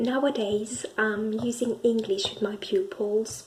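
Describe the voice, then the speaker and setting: With a French accent, a woman speaks at a very slow pace. Her pitch sits fairly high. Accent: French accent in English and Spanish. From France. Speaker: language learner and English teacher. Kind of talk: personal video monologue. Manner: halting, many fillers and restarts.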